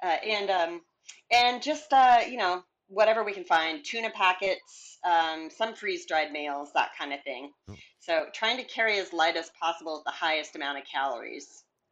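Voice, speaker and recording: A woman talks at a moderate pace and medium pitch, with very wide pitch swings and big swings in loudness, against a quiet background. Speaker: hiking author. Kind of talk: casual interview.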